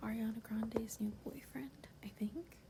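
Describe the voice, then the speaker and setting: A soft-spoken woman whispers against noticeable background noise. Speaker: ASMR creator. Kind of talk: ASMR roleplay, casual talk to camera. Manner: soft-spoken, whispery, caring.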